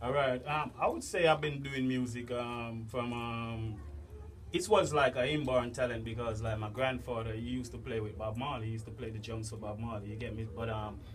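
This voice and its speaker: Man with a Jamaican accent, fairly quick pace and fairly even intonation, amid noticeable background noise and audible room echo. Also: medium pitch for a man. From Jamaica, St. Thomas. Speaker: dancehall artist. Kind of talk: interview.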